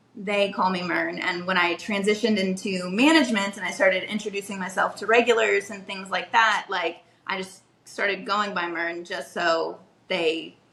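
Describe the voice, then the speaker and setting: With ordinary pitch variation and a medium pitch, a woman speaks at a moderate pace while noticeable background noise carries on. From Kentucky, Louisville. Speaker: restaurant manager. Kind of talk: casual interview chat. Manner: hesitant, many fillers.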